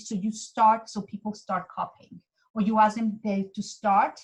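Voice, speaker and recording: A woman speaks with a Mexican accent. Her voice is fairly high and somewhat breathy. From Mexico. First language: Spanish. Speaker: intercultural trainer. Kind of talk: webinar presentation.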